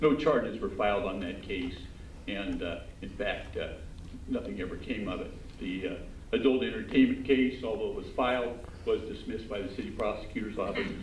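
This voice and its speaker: Amid noticeable background noise and audible room echo, a man with an American accent talks at a fairly quick pace. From Southern California. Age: old. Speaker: defense attorney. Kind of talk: public comment at city council meeting. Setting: city council chamber. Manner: halting, many fillers.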